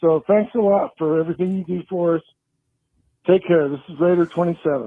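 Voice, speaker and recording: A man is speaking. His voice sits high for a man. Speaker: caller to sports talk show. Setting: phone.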